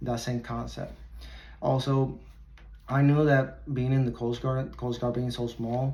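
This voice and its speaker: Somewhat breathy and dark, mellow in tone, the voice speaks in a Puerto Rican accent with monotone, flat intonation. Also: man. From Puerto Rico. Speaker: military recruiter. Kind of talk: presentation to high school students.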